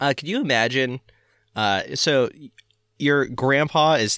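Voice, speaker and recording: An American-accented man speaks at a fairly slow pace, animated and bright, sharp in tone, with vocal fry. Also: very clean recording, silent background. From northern Florida. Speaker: podcast host. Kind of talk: casual comedic chat. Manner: jokey, animated.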